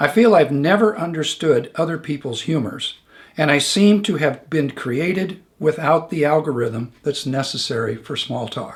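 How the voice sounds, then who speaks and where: A man with a fairly high pitch sounds somewhat breathy. He uses lively intonation. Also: moderate pace. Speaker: show host. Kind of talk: reading a viewer question aloud.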